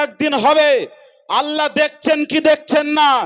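A man's voice at an extremely high pitch. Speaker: political rally speaker. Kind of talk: political speech at a rally. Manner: loud, rousing crowd address.

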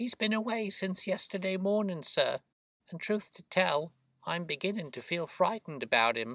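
Using a put-on character voice, a man speaks at a moderate pace with a high pitch, a bright, sharp tone, and lively intonation, the sound dry and close with no echo.

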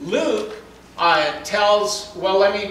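Strong room echo surrounds a man speaking at a high pitch with a fairly bright tone.

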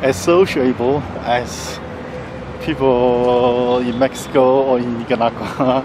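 A man speaking very slowly, dry sound with no echo, noticeable background noise behind him. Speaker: travel vlogger. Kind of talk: casual vlog chat. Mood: relaxed, smiling. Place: street. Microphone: phone near.

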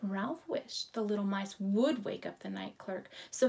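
Someone reads in an unforced voice.

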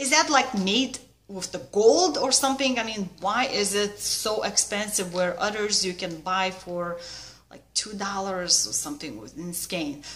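With a Lithuanian accent, a woman speaks at a fairly slow pace, her loudness swinging widely. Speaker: needlework vlogger. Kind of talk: casual vlog chat. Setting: video at home. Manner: informal, slightly halting. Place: home room. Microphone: webcam.

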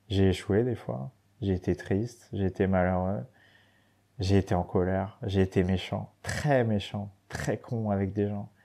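A man's fairly low voice at a fairly slow pace, on a very clean recording with a silent background. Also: ordinary pitch variation. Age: 30s. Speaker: professional adventurer and former racing cyclist. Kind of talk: casual interview chat. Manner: halting, many hesitations and repeated words.

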